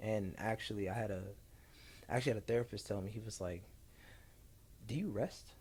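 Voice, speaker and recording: Somewhat breathy and fairly low-pitched, a man with an American accent speaks very fast yet with long, frequent pauses and fairly even intonation. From Ohio, Columbus. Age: 20s. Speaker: entrepreneur and speaker. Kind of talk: casual chat.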